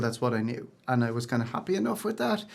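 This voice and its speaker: A man speaks at medium pitch. He has an Irish accent. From Ireland. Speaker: singer-songwriter. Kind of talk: interview.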